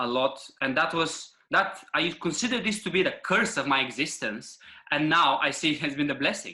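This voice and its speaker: Bright, sharp tone at a moderate pace, with ordinary pitch variation. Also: man. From Bulgaria. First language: Bulgarian. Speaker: men's coach. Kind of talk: podcast interview.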